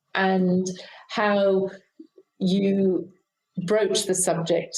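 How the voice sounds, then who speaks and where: Here a woman speaks with a British accent. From UK. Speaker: aged care leader. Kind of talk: interview.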